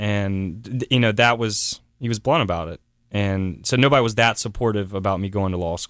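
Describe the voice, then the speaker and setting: A man with an American accent uses an ordinary speaking voice, fairly low in pitch and at a moderate pace, in a very clean recording with a silent background. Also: ordinary pitch variation. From South Carolina, Columbia area. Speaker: startup venture builder, CEO. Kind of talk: radio interview.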